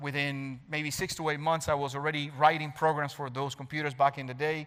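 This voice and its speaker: A man speaks with a Spanish accent. His pitch is fairly high and his pace fairly quick. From Cuba. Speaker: cybersecurity expert. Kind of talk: talk to an audience.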